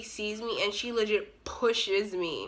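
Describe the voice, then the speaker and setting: A woman speaks at a medium pitch with ordinary pitch variation. Her tone is bright, sharp and animated. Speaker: YouTuber. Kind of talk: storytime vlog. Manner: fast.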